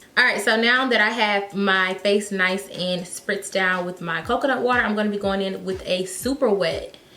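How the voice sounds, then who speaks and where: A woman talks at a medium pitch with fairly even intonation. Noticeable background noise and audible room echo are present. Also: moderate pace, hardly any pauses. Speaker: beauty youtuber. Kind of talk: makeup tutorial. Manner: casual, chatty.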